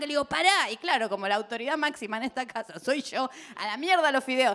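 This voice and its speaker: In a raised, projected voice, the speaker moves at a fairly quick pace with very wide pitch swings. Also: woman. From Argentina, Buenos Aires. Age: 40s. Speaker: comedian. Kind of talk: stand-up. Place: stage. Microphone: handheld.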